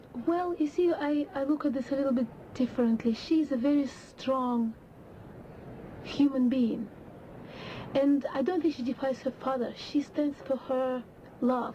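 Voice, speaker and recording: Breathy speech with fairly even intonation moves at a fairly slow pace, broken by long, frequent pauses, over noticeable background noise. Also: woman, high pitch for a woman. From Russia. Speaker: opera singer. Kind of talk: interview.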